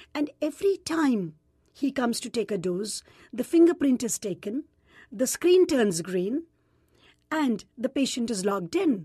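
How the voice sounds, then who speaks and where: A woman with an Indian accent speaks fairly slowly in a high, dark and mellow voice with very wide pitch swings. She pauses long and often, and the sound is dry and close with no echo. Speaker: gynecologist and nonprofit president. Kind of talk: interview.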